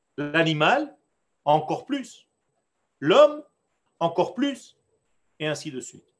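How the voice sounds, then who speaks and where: A man's high voice at a very slow pace, with very wide pitch swings, big swings in loudness, and long, frequent pauses. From Israel. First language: Hebrew (speaking French). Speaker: rabbi teaching Torah class. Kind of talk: lecture. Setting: online class on video call.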